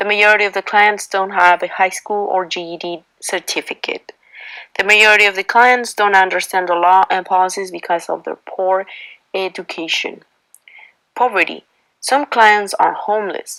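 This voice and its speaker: A woman with a Spanish accent and a bright, sharp tone, medium pitch, moderate pace, fairly even intonation. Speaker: university student intern. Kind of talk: class presentation.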